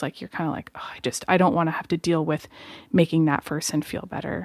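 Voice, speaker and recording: A soft-spoken woman with a very deep, low pitch talks at a fairly quick pace. The sound is dry and close with no echo, on a very clean recording with a silent background. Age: 20s. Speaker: podcast co-host, host's wife. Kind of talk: casual chat. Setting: home studio.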